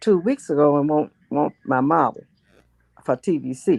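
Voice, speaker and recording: A woman with a Memphis accent, very deep and low in pitch, with lively intonation, in a dry, close sound with no echo against a quiet background. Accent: Southern US (Memphis). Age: 90s. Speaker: state representative, retired teacher. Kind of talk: interview answer.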